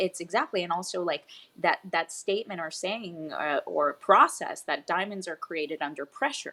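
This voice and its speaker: A woman with a Spanish accent speaks in a fairly low pitch, with ordinary pitch variation. The recording is very clean, with a silent background. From Puerto Rico, then Florida and Tennessee. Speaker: fitness coach. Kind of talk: interview.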